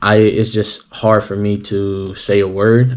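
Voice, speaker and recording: Speaking with a Southern US accent, a man delivers his words in a fairly low, monotone voice with flat intonation. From US South. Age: 30s. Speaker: athlete and coach. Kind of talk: casual vlog talk. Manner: hesitant, many fillers.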